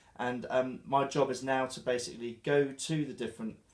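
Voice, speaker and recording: In a southern English accent, a man talks at a moderate pace and medium pitch with fairly even intonation. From southern England, Dorset (Christchurch). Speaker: chef. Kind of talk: interview. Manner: halting, with fillers.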